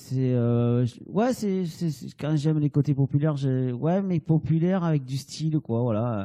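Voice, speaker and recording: Recorded dry and close with no echo, a man with a dark, mellow tone and fairly high pitch speaks fairly slowly with ordinary pitch variation. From southern France, Hérault (Sète area). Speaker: painter. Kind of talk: interview. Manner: halting, many fillers.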